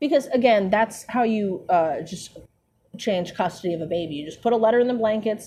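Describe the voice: In plain reading aloud with ordinary pitch variation, the voice sits over a quiet background.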